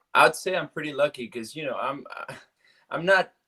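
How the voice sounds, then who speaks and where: A man's bright, sharp tone in a Cuban accent, at a fairly quick pace. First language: Spanish. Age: 30s. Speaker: actor. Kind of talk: interview. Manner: halting.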